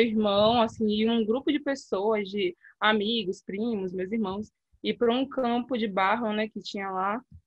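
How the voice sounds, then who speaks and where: A woman with a fairly high pitch and ordinary pitch variation talks at a moderate pace. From Salvador, Bahia, Brazil. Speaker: researcher and cycling activist. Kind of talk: interview. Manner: halting, many fillers.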